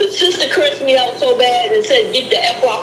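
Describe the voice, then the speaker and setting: Very wide pitch swings from a woman, with music in the background and audible room echo. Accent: American. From Boston. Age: 60s. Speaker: caller, spiritual counselor. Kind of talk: casual chat.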